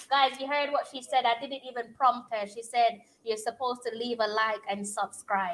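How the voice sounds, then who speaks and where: With a strong Jamaican accent, a woman speaks at a moderate pace in a fairly high pitch, her intonation fairly even and her delivery with hardly any pauses. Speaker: football fan streamer. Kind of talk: casual live-stream watch-along chat. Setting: home live stream. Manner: frequent hesitations with um.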